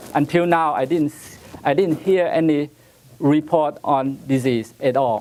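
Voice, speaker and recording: A man with a Taiwanese accent speaks at a fairly slow pace in a fairly high pitch, with ordinary pitch variation and big swings in loudness. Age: 80s+. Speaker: rose breeder. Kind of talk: conference presentation. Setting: stage with audience. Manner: halting.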